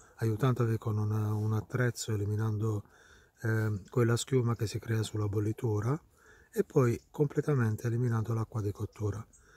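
Quiet and somewhat breathy, a man speaks with a dark, mellow tone in a flat monotone, and the sound is dry with no echo. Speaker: mycologist. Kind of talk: outdoor tutorial. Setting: outdoors in woods. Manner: quiet, low voice. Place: forest. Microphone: phone near.

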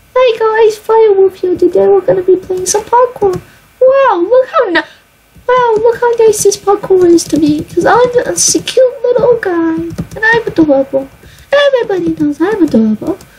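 Here a woman uses a put-on character voice at an extremely high pitch. Her pace is moderate. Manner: sweet, cutesy.

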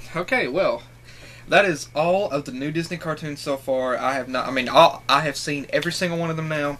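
There's light background noise behind this man. His pitch varies in an ordinary way. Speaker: reaction video creator. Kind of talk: casual vlog chat. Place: home room. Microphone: webcam.

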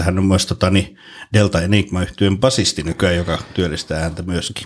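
Very deep and low, this man's voice moves at a moderate pace with fairly even intonation. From Finland. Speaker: podcast host and actor; podcast guest. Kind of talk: casual chat. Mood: relaxed, jokey. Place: studio. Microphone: studio mic.

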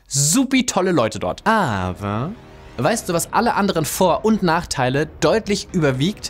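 Very wide pitch swings run through the speech of a man. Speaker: YouTuber. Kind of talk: casual vlog chat to camera. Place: home room.

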